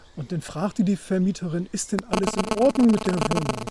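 A man speaks at a fairly quick pace with ordinary pitch variation. Noticeable background noise runs behind him. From northern Germany, Wilhelmshaven. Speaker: supporter of the channel. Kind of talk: casual chat. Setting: outdoors in a forest.

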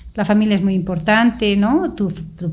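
Noticeable background noise and audible room echo surround a woman's voice. She speaks at a medium pitch with ordinary pitch variation. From Bolivia, Sucre. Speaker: pediatric pulmonologist. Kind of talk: casual interview. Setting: studio.

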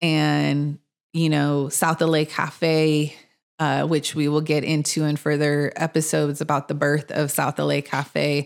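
A woman with a very deep, low pitch speaks at a very slow pace in a monotone, flat intonation, on a very clean recording with a silent background. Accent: Californian. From Los Angeles (mid-city). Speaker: podcast co-host and community organizer. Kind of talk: casual chat.

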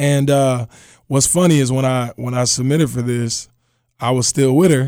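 This man has an unremarkable speaking voice, medium in pitch with fairly even intonation, at a moderate pace. The recording is very clean, with a silent background. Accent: American. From Houston, Texas. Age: 30s. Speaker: singer. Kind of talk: casual storytelling.

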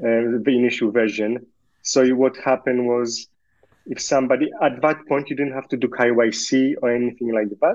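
Monotone and flat in intonation, a man speaks at a medium pitch. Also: moderate pace. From Poland, raised in Australia from age eight. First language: Polish. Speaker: bitcoin exchange founder. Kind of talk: casual chat.

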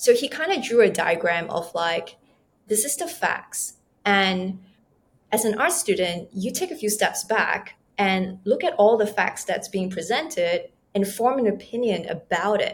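Speaking fairly slowly at a medium pitch, a woman uses lively intonation and sounds somewhat breathy. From Malaysia. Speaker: trauma recovery coach. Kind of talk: casual interview conversation.

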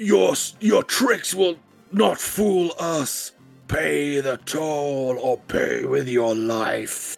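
Over faint music in the background, a man uses a booming put-on character voice, fairly high pitched with very wide pitch swings, at a very slow pace. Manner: menacing.

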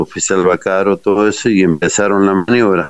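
A man speaks at a moderate pace. His voice sits very deep and low. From Argentina, Corrientes province, rural. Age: 60s. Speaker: war veteran. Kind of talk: interview testimony.

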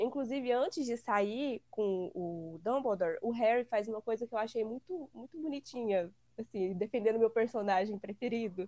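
Fairly high in pitch, a woman's voice has a dark, mellow tone and ordinary pitch variation. She speaks at a moderate pace in a dry, close sound with no echo. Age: 20s. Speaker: guest fan. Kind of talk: casual chat.

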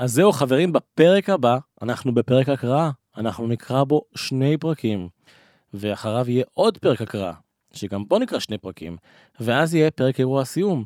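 This man has an ordinary speaking voice at a medium pitch, with lively intonation and a moderate pace. The recording is very clean, with a silent background and a dry, close sound with no echo. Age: 30s. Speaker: podcast host. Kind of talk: casual chat.

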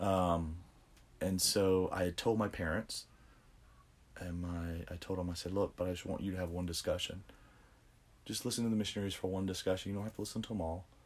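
A man with a Louisiana accent talks at a fairly quick pace in a very deep, low voice, his intonation monotone and flat, broken by long, frequent pauses. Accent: Southern US (Louisiana). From US South, Louisiana (Baton Rouge area). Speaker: religious convert sharing his story. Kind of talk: interview testimony.

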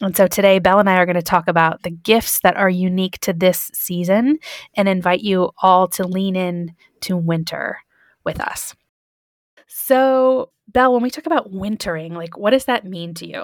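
With an American accent and a plain, everyday voice, a woman speaks at a medium pitch and a moderate pace with ordinary pitch variation and big swings in loudness, in a dry, close sound with no echo. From Michigan, US Midwest. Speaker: podcast host. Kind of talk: casual chat.

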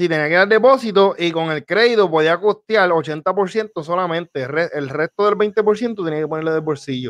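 In a dry, close recording with no echo, a man speaks at a moderate pace in a high voice with ordinary pitch variation and hardly any pauses. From Puerto Rico, Florida municipality. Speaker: podcast co-host. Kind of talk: casual chat.

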